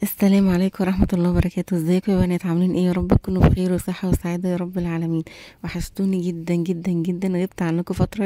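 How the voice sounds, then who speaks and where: A quiet woman's voice with an Egyptian accent, fairly low in pitch, dark and mellow in tone, at a fairly quick pace, with a dry, close sound, no echo, and a very clean, silent background. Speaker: beauty and shopping vlogger. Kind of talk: product review vlog. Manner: quiet voice; chatty, conversational.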